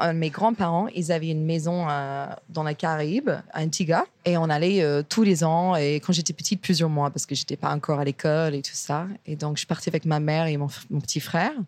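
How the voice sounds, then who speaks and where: This woman has a very deep, low pitch and an English accent. She talks at a fairly quick pace with fairly even intonation, on a very clean recording with a silent background. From US, Virginia. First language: English (speaking French). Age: 30s. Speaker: chef and restaurant owner. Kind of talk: interview. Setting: restaurant kitchen.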